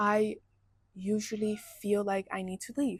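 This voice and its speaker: A woman's fairly high, somewhat breathy voice unfolds at a fairly slow pace in a dry, close sound with no echo. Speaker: vlogger. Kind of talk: personal vlog monologue. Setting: indoors at home.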